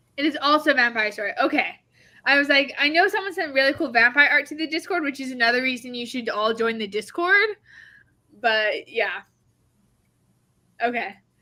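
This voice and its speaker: In a raised, projected voice, a woman speaks at a fairly quick pace with high pitch and lively intonation, broken by long, frequent pauses. The recording is very clean with a silent background. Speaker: writing livestream host. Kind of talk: casual chat. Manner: fast.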